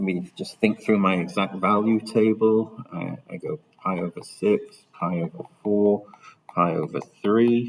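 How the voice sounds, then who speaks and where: Using a normal speaking voice, a man talks at a fairly low pitch and a fairly slow pace with ordinary pitch variation. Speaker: maths teacher. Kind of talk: tutorial.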